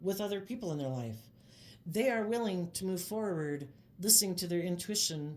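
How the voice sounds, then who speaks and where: A woman talks at a fairly quick pace with ordinary pitch variation. Audible room echo surrounds her voice. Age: 50s. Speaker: tarot reader. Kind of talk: tarot reading monologue. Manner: casual, conversational.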